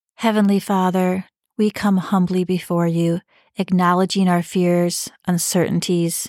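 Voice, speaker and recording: In a very clean, silent recording with a dry, close sound and no echo, a woman speaks fairly slowly at a medium pitch in a warm, gentle tone with flat, monotone intonation. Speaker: podcast host, devotional leader. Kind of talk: devotional Bible reading and reflection, with a fervent, intimate prayer near 5:03. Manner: earnest, warm, gentle and pleading in the prayer, urgent and heartfelt; sincere, encouraging, personal.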